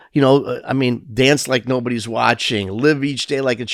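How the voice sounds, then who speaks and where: Very clean audio with a silent background, featuring a man at a moderate pace. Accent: Chicago. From Chicago, US Midwest. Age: 60s. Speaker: entertainment and food business owner, community leader. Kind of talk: casual interview chat. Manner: halting, many fillers and restarts.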